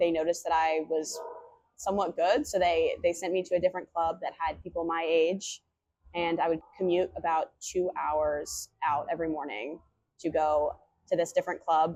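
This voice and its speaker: With an American accent, a woman talks at a moderate pace and a fairly low pitch, her intonation fairly even in an unremarkable speaking voice. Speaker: college athlete. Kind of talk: interview testimony.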